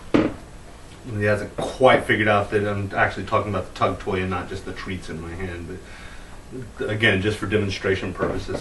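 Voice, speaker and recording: A man at a moderate pace, fairly low in pitch, with fairly even intonation, big swings in loudness and audible room echo. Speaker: dog trainer. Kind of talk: tutorial.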